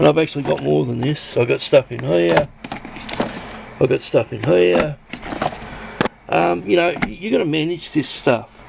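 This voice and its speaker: Speaking with an Australian accent at a medium pitch, a man keeps a moderate pace with long, frequent pauses and very wide pitch swings. Noticeable background noise is present. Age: 60s. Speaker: hobbyist electronics builder. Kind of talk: casual show-and-tell video. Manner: rambling, hesitant with fillers.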